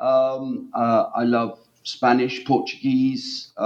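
The recording is very clean, and the background is silent. The speaker is a man. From East of England. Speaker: historian of language, author. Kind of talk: interview. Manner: hesitant, many fillers.

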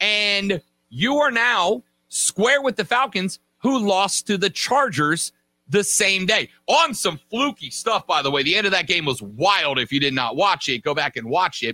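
A man speaks at a moderate pace in a high pitch, with very wide pitch swings. The sound is dry and close with no echo, on a very clean recording with a silent background. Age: 30s. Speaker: sports radio host. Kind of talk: casual sports podcast talk.

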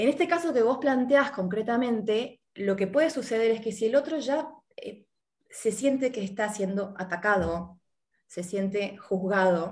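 Speaking with an Argentine accent, a woman uses lively intonation and a fairly high pitch, her voice somewhat breathy and her pace fairly slow. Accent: Argentine Spanish (Rioplatense). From Argentina. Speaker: life coach. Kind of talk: interview.

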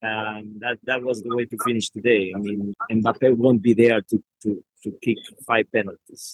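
With a Spanish accent, a man talks at a moderate pace in a monotone, flat way. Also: medium pitch for a man. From Argentina. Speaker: football journalist. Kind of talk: casual chat. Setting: at the stadium.

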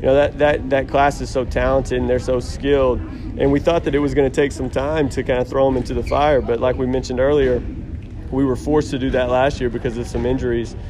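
This man talks at a very fast pace in a flat, monotone delivery. There is noticeable noise in the background. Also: medium pitch for a man. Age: 30s. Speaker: college basketball coach. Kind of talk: casual interview. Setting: media day event.

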